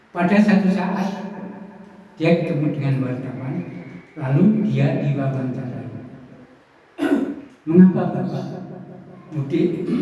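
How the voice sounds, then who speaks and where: A man's very slow speech with long, frequent pauses, a fairly high pitch and ordinary pitch variation, amid noticeable background noise and audible room echo. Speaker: preacher. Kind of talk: sermon.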